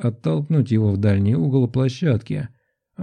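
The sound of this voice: An unforced reading voice over hardly any background sound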